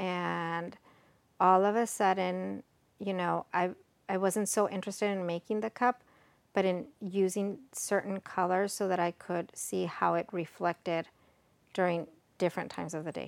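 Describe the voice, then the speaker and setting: A woman with an American accent has a normal speaking voice at medium pitch. The recording is very clean with a silent background, and the sound is dry and close with no echo. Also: fairly even intonation, moderate pace. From Texas, Mexican American, college in Mexico. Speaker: cup crafter and psychologist. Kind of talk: casual chat. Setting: in person at host's home.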